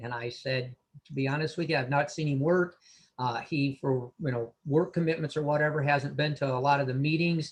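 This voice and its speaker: A somewhat breathy man with a fairly high pitch, talking at a fairly quick pace. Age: 60s. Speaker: veteran sports official and mentor. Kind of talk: panel discussion. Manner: hesitant, many fillers.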